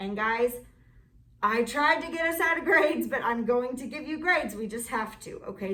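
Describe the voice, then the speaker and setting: Over noticeable background noise and audible room echo, a woman talks at a high pitch and moderate pace with lively intonation. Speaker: art teacher. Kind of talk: online class lesson. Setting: classroom.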